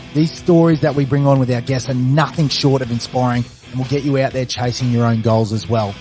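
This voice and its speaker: With music in the background, a man talks in an upbeat tone at a fairly quick pace with hardly any pauses. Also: medium pitch for a man. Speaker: podcast host. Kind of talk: podcast intro.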